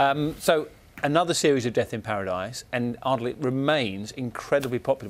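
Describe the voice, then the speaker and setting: A man with a British accent speaks with ordinary pitch variation. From UK. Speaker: broadcast interviewer. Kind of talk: entertainment interview. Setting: studio. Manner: chatty. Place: studio. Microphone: lapel.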